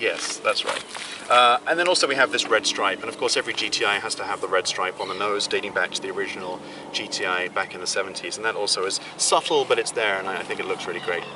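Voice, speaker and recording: A man talks at a very fast pace with a British accent. Noticeable background noise runs under his voice. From England. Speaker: car reviewer. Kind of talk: car review.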